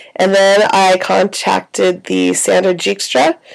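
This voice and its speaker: Noticeable background noise sits behind this recording. A woman speaks in a relaxed tone. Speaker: writer vlogging about their life. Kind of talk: casual video diary. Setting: in bed in a quiet room. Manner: relaxed, with many fillers.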